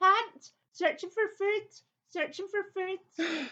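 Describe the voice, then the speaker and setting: Putting on a character voice, a woman talks very slowly at an extremely high pitch. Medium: audio drama. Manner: clipped, repeats phrases parrot-like.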